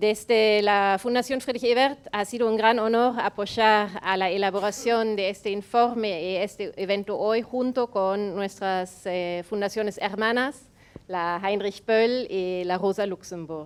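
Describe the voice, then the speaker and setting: A woman with a German accent talks fairly slowly at a medium pitch, her intonation fairly even and her speech almost free of pauses. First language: German (speaking Spanish). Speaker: foundation representative. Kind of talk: welcome speech read from notes. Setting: event venue with audience.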